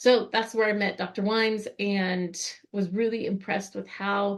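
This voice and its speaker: Her pitch is medium for a woman, and her intonation stays fairly even. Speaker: renal dietitian presenter. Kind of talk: webinar presentation. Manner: fast.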